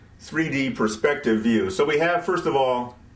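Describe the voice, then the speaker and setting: A man speaks with a fairly high pitch and lively intonation. There is audible echo in the room. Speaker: rocket science tutor. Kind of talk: tutorial. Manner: casual, with fillers and repeated words.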